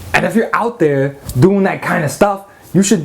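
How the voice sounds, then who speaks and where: Noticeable background noise sits behind a man's voice. He sounds animated, with lively intonation. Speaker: magic product reviewer. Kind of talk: product review rant. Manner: fast.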